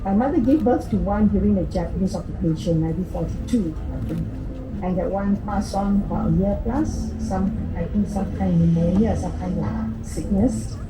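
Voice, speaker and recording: Audible room echo and noticeable background noise surround the recording. A woman talks at a moderate pace. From Singapore. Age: 80s+. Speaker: elderly resident recalling childhood. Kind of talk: oral history testimony. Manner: halting.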